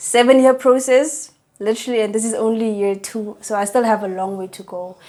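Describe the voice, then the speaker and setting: A woman talks at a moderate pace in a dark, mellow tone with fairly even intonation. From South Africa, Northern Cape. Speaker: psychology student. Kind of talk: interview.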